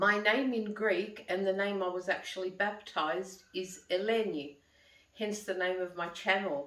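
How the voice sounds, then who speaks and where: A woman with an Australian accent, medium pitch and a fairly slow pace, amid audible room echo. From Australia, Sydney. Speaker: vlogger. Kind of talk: casual monologue to camera. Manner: conversational.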